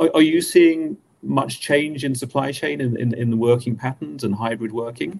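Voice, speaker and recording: Pitch rises and falls in an ordinary way. The delivery keeps a moderate pace. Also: man, medium pitch for a man. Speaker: webinar host. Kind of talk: panel discussion. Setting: video call. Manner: halting, many fillers.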